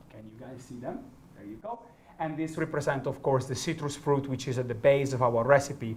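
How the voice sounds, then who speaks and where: With a slight Italian accent, a man talks at a fairly quick pace and fairly high pitch, his pitch varying normally while his loudness swings widely. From northern Italy. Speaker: gin brand ambassador. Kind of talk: product masterclass. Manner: animated.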